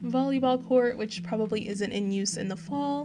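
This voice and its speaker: With music playing behind her, a woman talks in a fairly high pitch. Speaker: gaming YouTuber. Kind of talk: game tour narration. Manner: animated.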